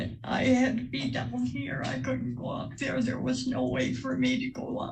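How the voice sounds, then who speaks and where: Over noticeable background noise, a woman talks at a moderate pace with hardly any pauses. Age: old. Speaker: widow testifying in court. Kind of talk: courtroom testimony. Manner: soft-spoken.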